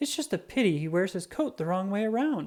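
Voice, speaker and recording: At a fairly quick pace, a female-sounding put-on character voice speaks in a medium pitch. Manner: clucking, fussy.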